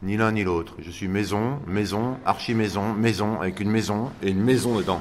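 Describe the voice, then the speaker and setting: In a room with audible echo, a man with a fairly low pitch speaks at a moderate pace with fairly even intonation and hardly any pauses. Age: 60s. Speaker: interviewee. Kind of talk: radio interview.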